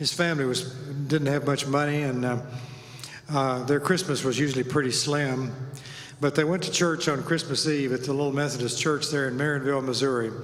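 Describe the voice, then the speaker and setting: A man with a fairly high voice talks at a fairly quick pace and in a fairly even tone, with audible room echo and noticeable background noise. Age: 70s. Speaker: tuba ensemble leader. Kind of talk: event emcee talk. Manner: halting.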